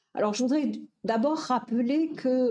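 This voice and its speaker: A woman speaks with a Toulouse accent at a high pitch and a fairly slow pace. Her tone is dark and mellow, with ordinary pitch variation. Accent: southern French (Toulouse). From southern France, Toulouse. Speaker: education professor, researcher. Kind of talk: lecture. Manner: hesitant, many fillers.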